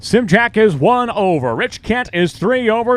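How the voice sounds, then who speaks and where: A man speaks loudly. His pace is fairly slow. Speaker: drag racing track announcer. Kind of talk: live commentary; PA announcements to racers. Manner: loud, raised to carry over engines.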